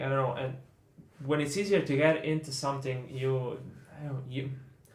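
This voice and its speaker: Recorded with audible room echo, a man with a non-native accent speaks in a fairly high, somewhat breathy voice. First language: not English. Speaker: podcast co-host. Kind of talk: casual chat. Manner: halting, hesitant.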